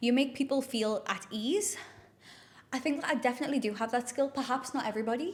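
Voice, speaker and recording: A woman speaks at a very fast pace. Her pitch is high. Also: ordinary pitch variation, very even loudness. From northeast England, South Shields. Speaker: influencer and health coach. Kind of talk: casual chat to camera. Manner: chatty, with many fillers.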